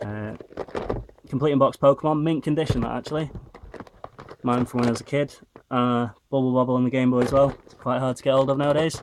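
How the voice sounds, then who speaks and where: A man with a Northern English accent, very fast yet flat and monotone, with long, frequent pauses and big swings in loudness. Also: medium pitch for a man. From Northern England. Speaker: retro game collector. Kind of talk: casual talk to camera.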